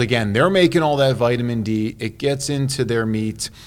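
Using an ordinary speaking voice, a man with an American accent speaks at a moderate pace, with medium pitch and ordinary pitch variation. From Chicago, US Midwest. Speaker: cardiologist. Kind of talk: interview. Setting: on location at a workshop.

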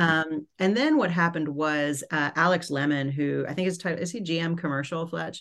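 In an ordinary speaking voice, a woman with an American accent talks at a moderate pace with hardly any pauses. Her pitch is fairly low, her intonation fairly even, and the background quiet. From US, New York City. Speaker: company founder and CEO. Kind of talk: podcast interview.

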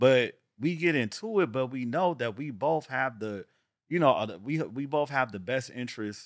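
In a very clean recording with a silent background, a man at medium pitch talks with lively intonation and big swings in loudness. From Los Angeles area (San Pedro, Carson). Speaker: real estate agent and entrepreneur. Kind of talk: casual chat. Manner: fast.

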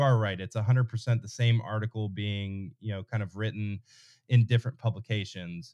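Here a man with an American accent has a plain, everyday voice at medium pitch with fairly even intonation. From North Carolina. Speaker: sports website owner. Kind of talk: casual chat.

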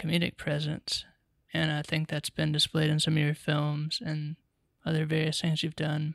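A man with an American accent talks at a moderate pace. The recording is very clean and dry, with a close sound, no echo and a silent background. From Charlotte, North Carolina. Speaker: podcast co-host, writer-director. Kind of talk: interview.

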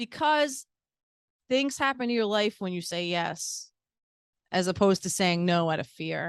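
Against a quiet background, with a dry, close sound and no echo, a woman at a medium pitch speaks at a moderate pace, swinging very widely in pitch and leaving long, frequent pauses. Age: 40s. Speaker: cannabis event organizer. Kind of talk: casual chat. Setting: dispensary venue.

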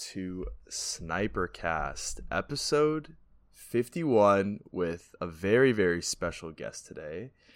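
A man speaks at a very slow pace with big swings in loudness. The recording is very clean, with a silent background. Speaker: podcast co-host. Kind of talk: casual chat.

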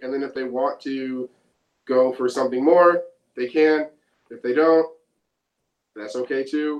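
This man keeps a moderate pace. His intonation is fairly even. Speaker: pop-punk band member. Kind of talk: casual interview.

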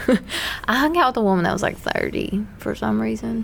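A woman speaks with an American accent. Noticeable background noise runs through the clip. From US South (Bible Belt). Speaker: podcast co-host. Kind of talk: casual chat.

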